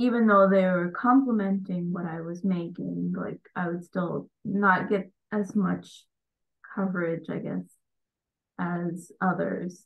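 Over a quiet background, a woman talks at a very slow pace with fairly even intonation. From US, Indian immigrant family. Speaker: embroidery business owner, engineer; interviewee. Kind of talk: interview. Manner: hesitant, many fillers. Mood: reflective, slightly uneasy. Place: home room. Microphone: video call.

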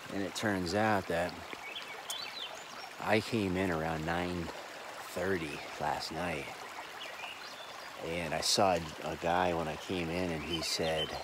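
Loud background noise surrounds a man's voice, recorded dry with no echo. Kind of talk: casual vlog chat. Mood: puzzled, recounting events. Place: waterside. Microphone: phone near.

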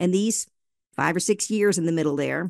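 A woman's fairly low voice at a fairly quick pace, dry with no echo, over a quiet background. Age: 50s. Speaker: author and speaker. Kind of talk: casual chat. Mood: warm, reflective. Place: studio. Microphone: studio mic.

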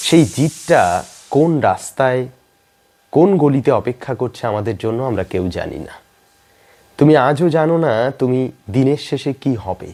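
A man of medium pitch talks at a moderate pace, his tone dark and mellow and his intonation lively.

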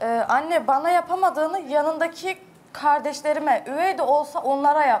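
Her pitch is high, and this woman keeps a moderate pace with ordinary pitch variation and very even loudness. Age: young. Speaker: reality show guest. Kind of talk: emotional appeal. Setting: studio. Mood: hurt, pleading. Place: studio. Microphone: lapel.

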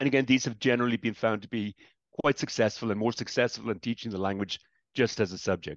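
A man talks at a very fast pace. His pitch varies in an ordinary way, and the sound is dry with no echo. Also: quiet background. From Ireland, Dublin. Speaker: professor emeritus. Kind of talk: lecture. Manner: hesitant, many fillers.

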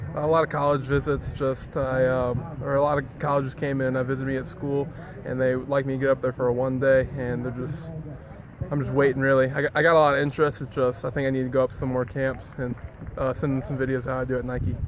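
Over noticeable background noise, a man speaks in a monotone, flat way with a dry sound and no echo. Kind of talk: interview answer. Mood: polite, modest. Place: stadium. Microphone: phone near.

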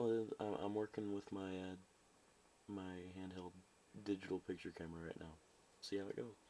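Quiet speech at a moderate pace. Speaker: toy reviewer. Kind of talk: casual talk to camera. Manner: quiet, low volume.

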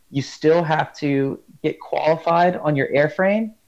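A man is speaking. Behind him the background is quiet. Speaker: rescue swimmer instructor. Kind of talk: interview answer. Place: home room. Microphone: earbuds.

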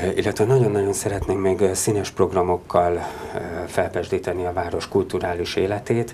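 A man with an ordinary speaking voice, fairly low in pitch, talks at a moderate pace with fairly even intonation over light background noise. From Hungary, Budapest; Hungary. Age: 40s. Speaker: local politician, mayoral candidate; local politician, candidate. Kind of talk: studio interview. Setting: studio. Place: studio. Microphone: lapel.

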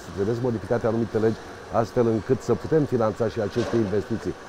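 Noticeable background noise fills the recording. A man's voice comes through it. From Romania, Buzău county; Romania. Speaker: county council president and candidate; county council president, candidate. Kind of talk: interview. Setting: outdoors by a riverside promenade under construction. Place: waterside.

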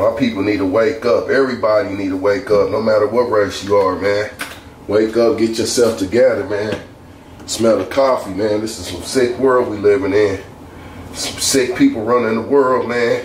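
Speech at a moderate pace with fairly even intonation carries audible room echo over light background noise. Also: man. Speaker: home cook vlogger. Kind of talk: casual vlog chat while cooking. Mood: opinionated, ranting. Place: kitchen. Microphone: camera far.

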